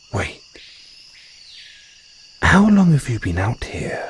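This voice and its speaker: A put-on character voice from a man, high in pitch, at a fairly slow pace. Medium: audio drama. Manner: affectionate, calls listener darling; refined, slightly condescending toward humans.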